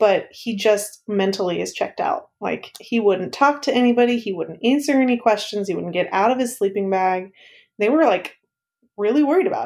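Lively in intonation and fairly high in pitch, a woman with an unremarkable speaking voice talks at a moderate pace in a very clean recording with a silent background. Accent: American. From East Texas. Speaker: former summer camp staff member. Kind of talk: casual interview chat.

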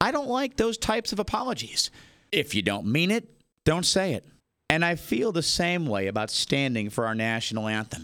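Using an American accent, a man talks at a moderate pace in a bright, sharp tone, his fairly high pitch making very wide swings. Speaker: radio host. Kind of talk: opinion commentary, personal monologue. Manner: earnest, passionate.

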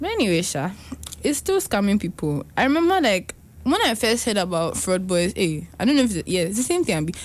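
Very wide pitch swings at a fairly quick pace, against noticeable background noise. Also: woman, medium pitch for a woman. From Ghana. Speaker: podcast co-host. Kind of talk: casual chat.

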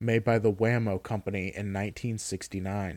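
An ordinary speaking voice with fairly even intonation, on a very clean recording with a silent background and a dry, close sound with no echo. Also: man. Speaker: SCP story narrator. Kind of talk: scripted narration of a dry SCP containment report, read aloud in a flat clinical tone. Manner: formal, even-paced, deadpan.

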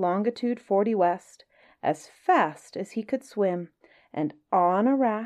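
Quiet surroundings, natural-sounding reading, and ordinary shifts in pitch

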